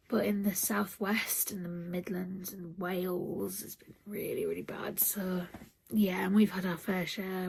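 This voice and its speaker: Over noticeable background noise, a woman with a British accent and a medium pitch speaks fairly slowly in a flat monotone. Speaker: vlogger. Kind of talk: casual vlog monologue. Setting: at home, early morning.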